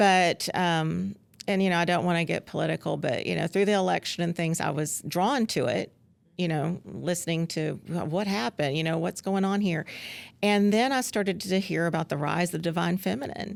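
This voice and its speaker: With a Southern US accent, a woman keeps her loudness very even and her pitch variation ordinary. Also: fairly low pitch for a woman, very clean recording, silent background. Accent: Southern US drawl. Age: 50s. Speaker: former school principal. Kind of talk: casual interview chat. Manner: hesitant, many fillers.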